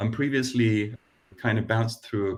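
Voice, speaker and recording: A man speaks in a fairly low pitch. His voice is somewhat breathy, with ordinary pitch variation. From Denmark. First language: Danish. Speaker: design operations lead. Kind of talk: panel discussion.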